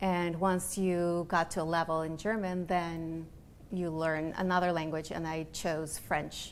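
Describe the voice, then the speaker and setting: A woman's fairly low voice in a Spanish accent, fairly slow and monotone with flat intonation, in audible room echo. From Latin America (Peru-born, raised in Honduras and Austria). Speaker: interior design director. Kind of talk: interview. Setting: showroom studio.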